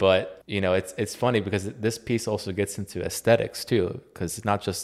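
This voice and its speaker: In an unremarkable speaking voice, a man with an American accent talks at a fairly quick pace and fairly low pitch, his intonation fairly even, on a very clean recording with a silent background. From US. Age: 30s. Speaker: podcast host. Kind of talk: casual chat.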